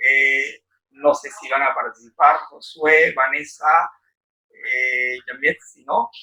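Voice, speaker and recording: The speech comes at a very slow pace with big swings in loudness. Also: man. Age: 80s+. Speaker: book discussion moderator. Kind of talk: group discussion.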